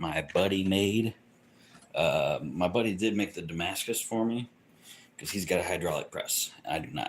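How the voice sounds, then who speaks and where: The voice is quiet, moving at a moderate pace. Its pitch varies in an ordinary way. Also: man. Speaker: bladesmith livestreamer. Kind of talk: casual livestream chat. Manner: quiet talker.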